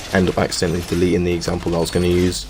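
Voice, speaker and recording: A man whispers quietly. Noticeable background noise runs behind him. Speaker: gaming YouTuber. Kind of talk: gaming commentary voice-over. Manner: quiet, near whisper.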